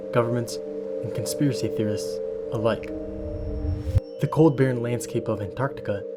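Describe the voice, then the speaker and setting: With lively intonation, a man speaks while music plays in the background. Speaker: voice actor. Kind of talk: documentary narration.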